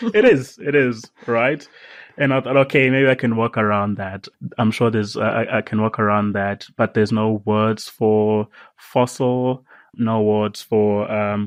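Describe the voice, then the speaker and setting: Over a quiet background, a man with a Zulu accent speaks at a fairly slow pace with fairly even intonation. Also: medium pitch for a man, dry, close sound with no echo. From South Africa. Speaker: science writer. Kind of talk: podcast interview. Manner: halting.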